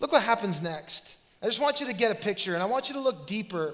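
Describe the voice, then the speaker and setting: A man with a high-pitched voice rattles along at a very fast pace, his intonation lively. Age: 30s. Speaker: pastor. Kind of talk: sermon. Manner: animated.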